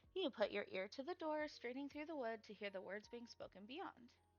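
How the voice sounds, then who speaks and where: A woman speaks with music in the background. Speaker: streamer. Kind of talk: reading aloud. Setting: live stream. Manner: fast.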